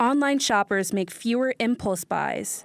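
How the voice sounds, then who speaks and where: With an American accent and a fairly high pitch, a woman speaks over noticeable background noise. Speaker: TV reporter / multimedia journalist. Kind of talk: TV news reporter package.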